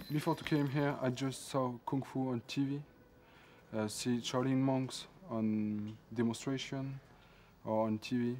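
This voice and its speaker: A man with a French accent at a fairly slow pace, medium in pitch, with fairly even intonation and long, frequent pauses. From France. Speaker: kung fu summer camp student. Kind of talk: interview. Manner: halting.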